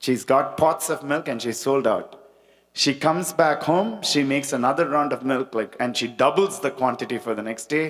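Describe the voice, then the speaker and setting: Vocal fry runs through this man's speech, which carries a Tamil accent. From India, Chennai. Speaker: spiritual talk speaker. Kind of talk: devotional talk with storytelling.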